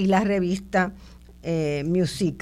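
In a very clean recording with a silent background, a woman talks in a fairly low voice. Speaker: radio host and sociologist. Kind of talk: radio interview. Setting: radio studio, also streamed on video.

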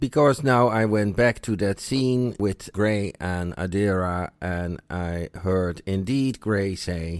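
A man's fairly low voice at a very slow pace, on a very clean recording with a silent background. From Netherlands. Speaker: listener sending audio feedback. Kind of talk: recorded voice message.

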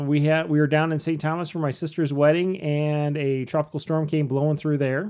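Using a normal speaking voice, a man talks at a moderate pace with hardly any pauses. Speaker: podcast host. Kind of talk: casual chat.

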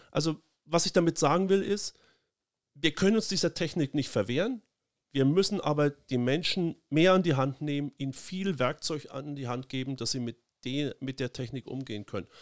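An unremarkable speaking voice belongs to a man with a fairly high pitch and lively intonation at a moderate pace. The sound is dry and close with no echo, on a very clean recording with a silent background. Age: 50s. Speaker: politician. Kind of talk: casual chat.

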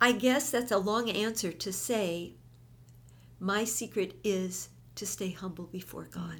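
With some vocal fry, a woman speaks fairly slowly at a medium pitch, showing ordinary pitch variation. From US Midwest, Minneapolis. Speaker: pastor's wife and Bible teacher. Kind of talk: interview testimony and encouragement.

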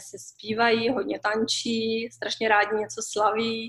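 A woman talks at a very slow pace. Her voice sits fairly high in pitch. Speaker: expat mother. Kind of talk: interview.

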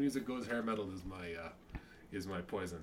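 There is audible room echo. A man's voice is heard through it. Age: 40s. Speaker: comedian. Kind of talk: casual chat.

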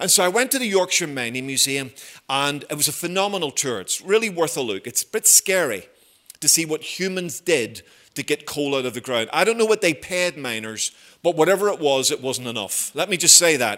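A man with a Belfast accent speaks at a fairly high pitch in a bright, sharp tone. His pitch swings very widely and his pace is fairly quick. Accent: Belfast Northern Irish. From Northern Ireland, Belfast. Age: 50s. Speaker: visiting preacher. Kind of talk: sermon.

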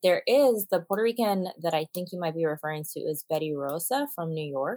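In a dry, close sound with no echo, a woman talks at a moderate pace and fairly low pitch in a plain, everyday voice. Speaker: podcast co-host discussing news. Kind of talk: casual news discussion.

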